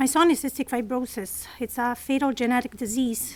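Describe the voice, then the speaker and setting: With a non-native accent, a woman talks at a moderate pace in a high-pitched, flat monotone. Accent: foreign. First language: not English. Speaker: patient advocate parent. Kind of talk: prepared statement. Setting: press conference. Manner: halting.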